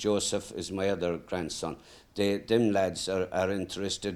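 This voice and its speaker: A man speaks at a fairly low pitch and a moderate pace in a monotone, flat way. The recording is very clean with a silent background. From Ireland, County Mayo. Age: 70s. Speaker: greyhound trainer. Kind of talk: casual interview. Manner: hesitant, with fillers.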